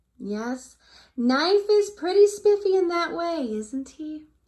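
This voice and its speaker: A squeaky put-on character voice with very wide pitch swings at a fairly slow pace. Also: woman, extremely high pitch for a woman. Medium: read story. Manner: warm, gentle.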